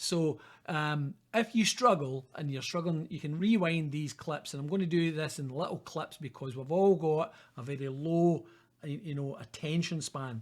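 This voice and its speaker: On a very clean recording with a silent background, a man with a Scottish accent speaks at a fairly high pitch with ordinary pitch variation. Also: moderate pace. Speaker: university lecturer. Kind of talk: lecture. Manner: casual, conversational.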